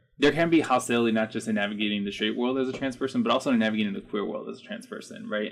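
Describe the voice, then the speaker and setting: This man has a medium-pitched voice with ordinary pitch variation and a Spanish accent. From Chicago. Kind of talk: panel discussion.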